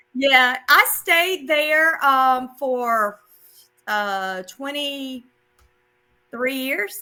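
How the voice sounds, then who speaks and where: In a South Carolina accent, the speaker uses a raised, projected voice with a bright, sharp tone and lively intonation. The pace is very slow, with long, frequent pauses. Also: woman, high pitch for a woman. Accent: Southern US (South Carolina). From US South, South Carolina. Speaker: math teacher. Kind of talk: casual interview.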